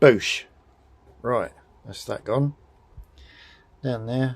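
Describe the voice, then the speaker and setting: A man speaks with a British accent. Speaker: motorcycle mechanic vlogger. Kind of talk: tutorial. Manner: monotone; formal.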